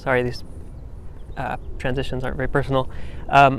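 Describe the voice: A man talks in a monotone, flat intonation at a fairly quick pace. His medium-pitched voice has vocal fry.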